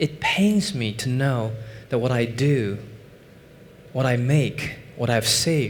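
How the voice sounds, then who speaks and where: A man speaks at a medium pitch with a Chinese accent and ordinary pitch variation. Audible room echo surrounds his voice. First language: Mandarin Chinese. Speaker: finance professor and investment executive. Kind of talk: conference talk. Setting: stage with audience.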